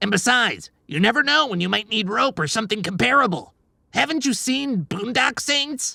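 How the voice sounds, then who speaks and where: A female-sounding put-on character voice at a fairly high pitch. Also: moderate pace. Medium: audio drama. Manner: sarcastic, cocky.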